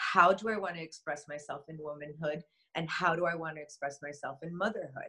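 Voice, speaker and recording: In a plain, everyday voice with an American accent, a woman talks at a fairly quick pace and fairly low pitch, her intonation fairly even but her loudness swinging widely. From US, Miami, Florida. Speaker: shaman and energy healer. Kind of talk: interview conversation.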